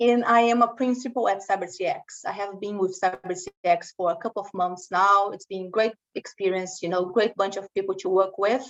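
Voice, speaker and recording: With a Brazilian Portuguese accent, a woman talks at a fairly quick pace with hardly any pauses, her medium pitch and fairly even intonation caught in a dry, close sound with no echo. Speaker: cybersecurity consultant. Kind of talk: webinar presentation. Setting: online webinar. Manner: conversational.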